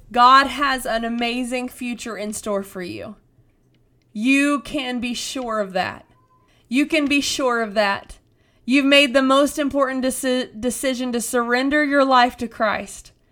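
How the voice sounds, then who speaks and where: A bright, sharp, raised and projected voice with fairly even intonation at a fairly slow pace. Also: woman, high pitch for a woman. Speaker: preacher and podcast host. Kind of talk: fervent prayer and sermon exhortation, urging listeners to surrender their pain to God. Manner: impassioned, pleading, earnest; emphatic, rhythmic repetition building intensity.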